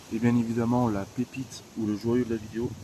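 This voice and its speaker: Amid noticeable background noise, a man speaks at a medium pitch and a fairly slow pace. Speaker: urbex video creator. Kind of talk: casual vlog narration. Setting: outdoors, trespassing urbex site. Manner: hesitant, many fillers. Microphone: quiet, turn volume up.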